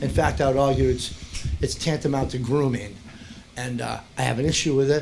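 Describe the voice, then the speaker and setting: The recording has audible room echo and noticeable background noise. Through it, a man speaks at a moderate pace with fairly even intonation. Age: 60s. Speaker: parent speaking in public comment. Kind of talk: public comment at school board meeting. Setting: school board meeting room.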